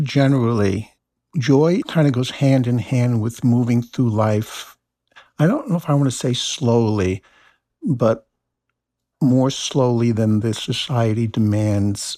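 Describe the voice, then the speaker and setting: Heard against a silent background in a very clean recording, this dark, mellow voice with an American accent moves at a very slow pace, with ordinary pitch variation and long, frequent pauses. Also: man, medium pitch for a man. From New Jersey. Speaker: essayist and university teacher. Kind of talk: casual interview.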